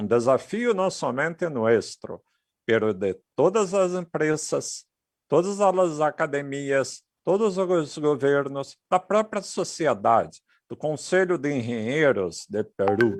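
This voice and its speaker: Against a quiet background, a man with a Portuguese accent talks at a very slow pace, his fairly high pitch making very wide swings. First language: Portuguese (speaking Spanish). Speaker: technology speaker. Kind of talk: conference presentation.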